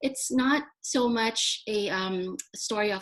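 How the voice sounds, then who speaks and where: With a Filipino accent, a woman talks with ordinary pitch variation against a quiet background. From Philippines. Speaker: poet laureate. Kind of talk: panel conversation. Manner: halting, many fillers.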